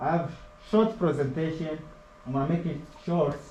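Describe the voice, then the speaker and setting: A non-native accent amid noticeable background noise and audible room echo. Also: man. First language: not English. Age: 20s. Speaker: HVAC apprentice. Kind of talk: classroom presentation.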